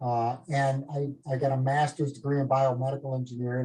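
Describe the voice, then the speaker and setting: With a Minnesota accent, a man talks at a fairly quick pace and medium pitch in a dark, mellow tone. His delivery is somewhat breathy, with monotone, flat intonation. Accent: Minnesota accent, often taken for Canadian. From northern Minnesota. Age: 50s. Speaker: medical device company executive. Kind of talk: casual talk on a group video call. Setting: live group call.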